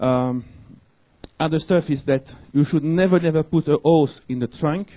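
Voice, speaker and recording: The man's voice has a dark, mellow tone and a dry, close sound with no echo. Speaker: network security engineer. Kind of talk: conference talk. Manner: fast.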